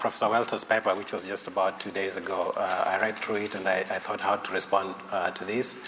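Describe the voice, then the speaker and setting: Amid noticeable background noise, a man talks at a fairly quick pace with hardly any pauses. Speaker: conference discussant. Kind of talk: academic conference talk. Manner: hesitant with many fillers; fast.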